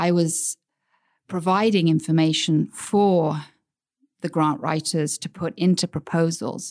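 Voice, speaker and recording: With an American accent, a woman speaks at a fairly slow pace and a fairly low pitch, her intonation fairly even, with long, frequent pauses and a dry, close sound with no echo. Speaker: grant-writing business owner. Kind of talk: interview. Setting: studio.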